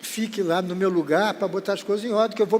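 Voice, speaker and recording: A man's high-pitched voice at a fairly quick pace. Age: 80s+. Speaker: veteran TV presenter. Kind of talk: interview storytelling.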